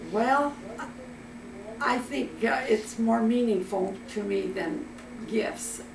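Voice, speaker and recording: Speaking at a very slow pace with long, frequent pauses, this voice has a German accent and ordinary pitch variation, with noticeable background noise and audible room echo. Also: woman, fairly high pitch for a woman. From Iowa, US Midwest. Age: 100s (80s+). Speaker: grandmother telling family stories. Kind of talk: casual family interview, reminiscing. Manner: halting.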